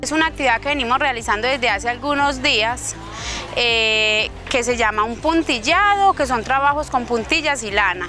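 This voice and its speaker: Clear music plays in the background as a woman with a high pitch speaks at a moderate pace, the sound dry with no echo. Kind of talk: interview answer. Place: street.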